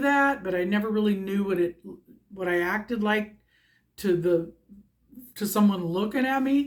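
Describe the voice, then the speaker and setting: A woman's voice sits at a medium pitch. It rises and falls in an ordinary way. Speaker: tarot card reader vlogger. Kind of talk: casual vlog talk. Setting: at home by front windows. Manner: hyper, distractible. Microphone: no microphone, sometimes hard to hear.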